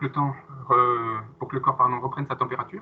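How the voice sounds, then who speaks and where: Speaking fairly quickly, the man keeps his pitch fairly high. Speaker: fitness coach. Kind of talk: live workout class instruction.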